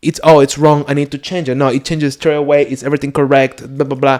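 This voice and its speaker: Speaking with a Spanish accent, a man has a fairly high pitch. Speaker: podcast co-host. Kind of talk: casual chat. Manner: halting.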